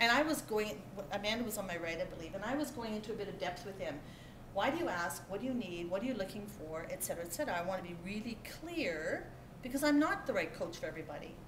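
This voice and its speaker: A woman at a very fast pace, with noticeable background noise. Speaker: keynote speaker, business coach. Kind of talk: motivational keynote talk. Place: hall. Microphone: camera far.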